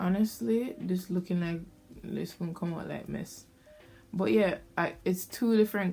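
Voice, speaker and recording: A woman speaks with a Jamaican accent in a dark, mellow tone, her pitch fairly low. She moves at a fairly slow pace with ordinary pitch variation. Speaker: beauty vlogger. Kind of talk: casual chat.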